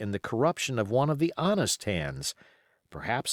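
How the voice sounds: The voice heard here is a natural reading voice.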